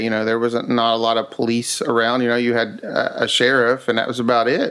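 Amid noticeable background noise, a man with an Appalachian accent speaks at a moderate pace and a medium pitch. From US South, West Virginia Appalachia. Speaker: museum founder. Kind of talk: casual interview.

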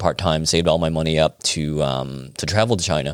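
Very clean recording with a silent background. A man speaks at a fairly quick pace. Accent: Chicago. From Chicago, US Midwest. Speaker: acupuncturist. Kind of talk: casual interview. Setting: in a clinic.

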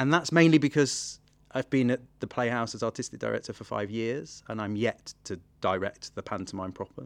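A man talks at a moderate pace with lively intonation, recorded with a dry, close sound and no echo. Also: medium pitch for a man, very clean recording, silent background. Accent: East Midlands. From England, Nottingham. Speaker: theatre artistic director. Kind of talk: interview.

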